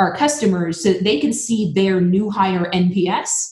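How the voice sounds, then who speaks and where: A woman talks at a medium pitch. Her voice is somewhat breathy. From Vermont, New England. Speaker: recruiting software executive. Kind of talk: interview. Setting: podcast.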